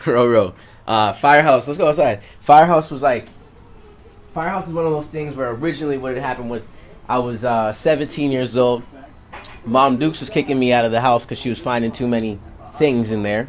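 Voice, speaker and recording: Fairly quick speech broken by long, frequent pauses, with ordinary pitch variation and noticeable background noise. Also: man, medium pitch for a man. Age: 20s. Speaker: rapper. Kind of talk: interview. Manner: casual.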